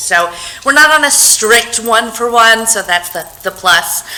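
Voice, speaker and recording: Amid noticeable background noise and audible room echo, a woman speaks at a moderate pace with a medium pitch and lively intonation. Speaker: public health program coordinator. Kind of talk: conference presentation. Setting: talk with microphone to audience. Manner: loud.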